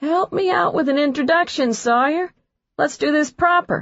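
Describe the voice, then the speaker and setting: A woman performs a put-on character voice with a high pitch and lively intonation. She keeps a moderate pace and very even loudness. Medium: read story. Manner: brash, cocky.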